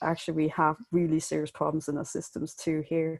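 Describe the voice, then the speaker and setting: A woman with a Danish accent speaks in a dark, mellow tone. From Denmark. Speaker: illustrator and graphic novelist. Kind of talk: interview. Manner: halting.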